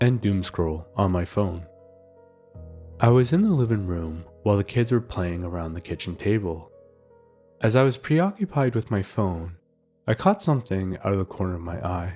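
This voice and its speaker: A man's strained, put-on character voice at a fairly low pitch and moderate pace, broken by long, frequent pauses, with music in the background. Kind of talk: creepypasta horror narration. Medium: read story. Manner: measured, slow-burn, restrained.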